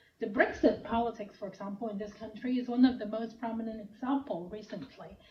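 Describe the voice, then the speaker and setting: The speech moves at a fairly quick pace with ordinary pitch variation and big swings in loudness. Noticeable background noise runs underneath. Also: woman, fairly high pitch for a woman. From Hong Kong. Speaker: professor. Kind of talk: lecture.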